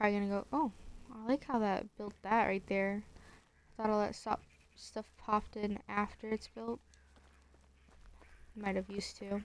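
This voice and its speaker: Quiet woman's voice at a medium pitch, fairly even intonation, long and frequent pauses. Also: moderate pace. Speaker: gaming streamer. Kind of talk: gameplay commentary. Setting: at home. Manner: casual, hesitant with fillers.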